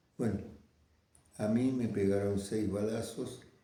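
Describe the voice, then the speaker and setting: Fairly low in pitch for a man, his somewhat breathy voice carries a dark, mellow tone with audible room echo. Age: 90s. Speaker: veteran communist activist. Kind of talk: interview testimony. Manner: halting.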